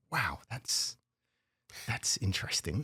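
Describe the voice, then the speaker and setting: A man with a British accent at a moderate pace, on a very clean recording with a silent background. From United Kingdom. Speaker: vice president of operations at a dryer manufacturer. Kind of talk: podcast interview answer.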